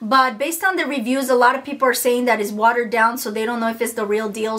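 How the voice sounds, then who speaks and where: A woman talks at a very fast pace with a high pitch. There are hardly any pauses. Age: 30s. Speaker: beauty YouTuber. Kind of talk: product review. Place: home room.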